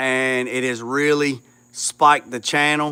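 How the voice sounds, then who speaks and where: The voice is loud and bright with a sharp tone, moving at a fairly slow pace over a very clean recording with a silent background. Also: man. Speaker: YouTuber restoring a classic car. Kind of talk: livestream chat with viewers. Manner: halting, many fillers.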